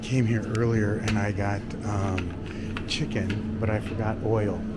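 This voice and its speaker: Music can be heard in the background. Over it, a man talks at a very slow pace. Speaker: travel vlogger. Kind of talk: casual vlog chat. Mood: cheerful, playful. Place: shop. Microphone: phone near.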